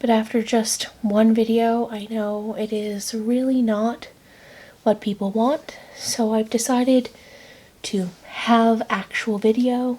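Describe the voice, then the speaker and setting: A soft-spoken woman at a very slow pace, monotone and flat in intonation. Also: fairly high pitch for a woman. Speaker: ASMR creator. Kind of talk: casual talk to camera.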